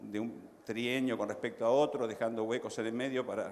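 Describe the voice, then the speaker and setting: The speech moves at a moderate pace, with noticeable background noise and audible room echo. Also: man. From Uruguay. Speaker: panelist. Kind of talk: conference panel discussion.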